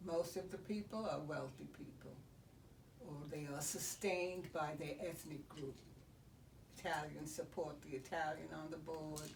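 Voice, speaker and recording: With vocal fry and a very deep, low pitch, a woman talks at a fairly slow pace with ordinary pitch variation. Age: 80s+. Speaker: retired educator and former state board of regents member. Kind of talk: interview answer.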